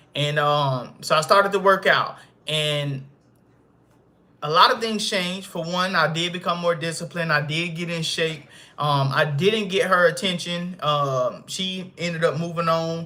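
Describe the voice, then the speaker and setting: Fairly slow speech from a high-pitched man, bright and sharp in tone, with fairly even intonation. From US South, Arkansas. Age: 20s. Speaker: fitness coach and content creator. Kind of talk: casual livestream monologue. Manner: casual, hesitant with fillers.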